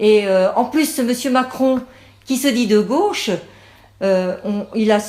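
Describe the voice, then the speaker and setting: Her tone is dark and mellow, and this woman talks at a moderate pace. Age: 60s. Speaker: parliamentary candidate. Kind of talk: campaign statement. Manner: halting, many fillers.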